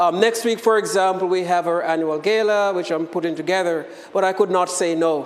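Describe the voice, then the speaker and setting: With a Jamaican accent, a man speaks at a high pitch and a fairly quick pace with fairly even intonation, over noticeable background noise and audible room echo. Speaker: professor. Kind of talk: lecture. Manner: hesitant, many fillers.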